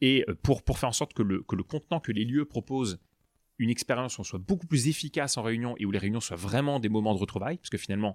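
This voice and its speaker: A very fast, animated delivery with lively intonation, in a very clean recording with a silent background and a dry, close sound with no echo. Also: man. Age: 30s. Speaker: startup co-founder. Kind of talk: interview.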